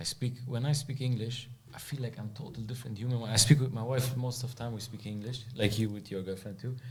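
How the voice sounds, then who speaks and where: A man with a German accent talks at a very fast pace with hardly any pauses, his voice somewhat breathy and medium in pitch. His intonation stays fairly even, and audible room echo surrounds him. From Germany. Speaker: podcast host. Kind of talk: podcast interview.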